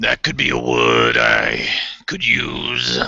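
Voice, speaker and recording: Using a put-on character voice, a man speaks very slowly in a raspy, very deep, low tone. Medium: actual play. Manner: terse, grunting, suspicious.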